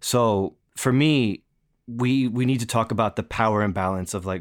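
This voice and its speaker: Here is a man with an American accent, a fairly low pitch and a plain, everyday voice. The recording is very clean with a silent background. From US East Coast, near New York City. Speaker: staff writer. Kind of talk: conversational interview.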